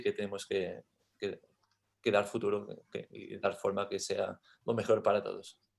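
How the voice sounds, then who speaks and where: Speaking at a moderate pace, a man is heard on a very clean recording with a silent background. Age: young. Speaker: young farmer and livestock breeder. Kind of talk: panel discussion. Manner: halting, many repetitions.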